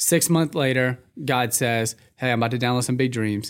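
An animated man with an American accent, medium pitch and moderate pace, on a very clean recording with a silent background. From Texas. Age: 20s. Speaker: young adult pastor. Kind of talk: casual interview.

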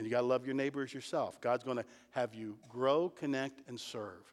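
Speaking in a Midwestern American accent, a man talks at a moderate pace with a fairly high pitch. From Ohio, Mansfield area. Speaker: pastor. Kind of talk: sermon.

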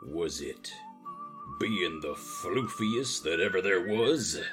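In a put-on character voice, a man speaks at a very slow pace. Clear background noise runs underneath. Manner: silly, playful.

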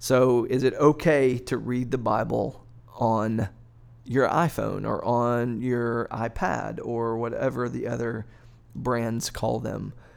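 A man with a medium pitch, a normal speaking voice and a fairly slow pace. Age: 40s. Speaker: pastor on church podcast. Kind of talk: casual discussion.

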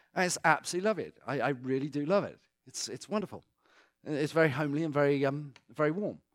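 Here a man talks with a British accent and ordinary pitch variation. The recording is very clean, the background silent. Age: 40s. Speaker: author and guest speaker. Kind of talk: talk to a church congregation. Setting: church.

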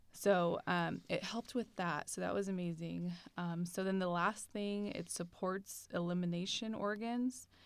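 A woman speaks with an American accent in a plain, everyday voice, fairly low in pitch. Her delivery is fairly slow with hardly any pauses and fairly even intonation. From US, California Bay Area. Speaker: graduate student podcast co-host. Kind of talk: casual chat; explaining a diet program. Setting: campus studio.

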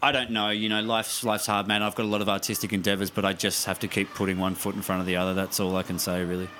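A man with an Australian accent speaks at a very fast pace with hardly any pauses, over noticeable background noise. His intonation is monotone and flat, his loudness very even. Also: fairly low pitch for a man. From South Australia, Mount Gambier. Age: 30s. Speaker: actor. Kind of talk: casual chat.

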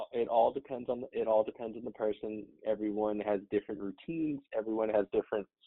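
This man has a normal speaking voice and a fairly low pitch. He talks at a moderate pace, his intonation fairly even. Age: 30s. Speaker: fitness trainer. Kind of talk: casual chat.

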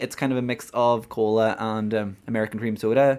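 A man with a Donegal accent at a fairly quick pace. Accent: Donegal Irish. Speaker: podcast host. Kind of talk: casual chat.

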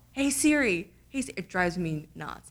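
A woman with a New Jersey accent and vocal fry speaks with very wide pitch swings, on a very clean recording with a silent background. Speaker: tech podcast host. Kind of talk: casual conversational podcast chat.

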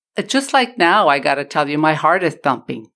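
On a very clean recording against a silent background, a woman speaks in an American accent. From US South, El Paso, Texas. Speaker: oral historian. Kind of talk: interview.

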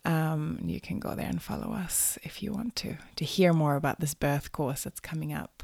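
A woman with a very deep, low pitch talks at a moderate pace, captured on a very clean recording against a silent background. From Sweden. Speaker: podcast host and yoga teacher. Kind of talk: podcast interview.

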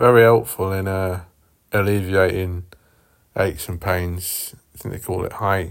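A man speaks in a very deep, low voice at a fairly slow pace, with flat, monotone intonation and big swings in loudness. Long pauses come often, and the recording is very clean with a silent background. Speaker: podcast host. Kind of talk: casual solo monologue. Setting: at home, in the bath. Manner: rambling, stumbling over words.

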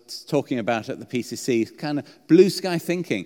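A man's fairly high voice in a British accent, with ordinary pitch variation. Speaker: preacher. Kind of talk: sermon. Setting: church. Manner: halting, hesitant.

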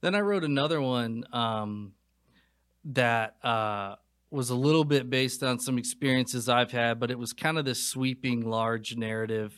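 The recording of this man is very clean, with a silent background. He talks at a moderate pace and medium pitch, with ordinary pitch variation. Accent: North Carolina. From North Carolina. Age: 20s. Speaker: film director and writer. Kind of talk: casual interview chat.

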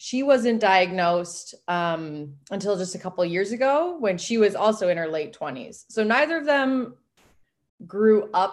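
A woman speaks in a normal speaking voice at a fairly slow pace with lively intonation. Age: 30s. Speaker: elite weightlifter and doctor. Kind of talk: interview. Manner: casual, frequent filler words.

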